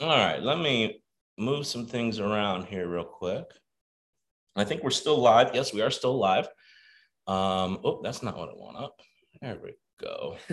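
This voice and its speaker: Taking long, frequent pauses at a fairly slow pace, the speaker has an animated tone, lively intonation, and big swings in loudness. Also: man, medium pitch for a man. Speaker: online coaching community host. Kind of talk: live webinar hosting. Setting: video call.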